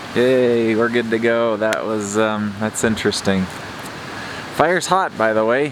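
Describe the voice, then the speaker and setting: Against noticeable background noise, a man talks in a relaxed tone at a fairly slow pace, with a medium pitch and ordinary pitch variation. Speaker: outdoor vlogger. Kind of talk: casual vlog talk to camera. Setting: outdoors by a campfire in winter. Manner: relaxed, hesitant with fillers.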